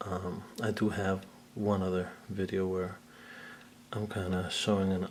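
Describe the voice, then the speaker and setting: A man talks quietly at a very slow pace. His very deep, low voice stays monotone and flat. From Puerto Rican background. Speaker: action figure collector and photographer. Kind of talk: casual video talk. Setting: at home in living room. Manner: kept quiet, low voice.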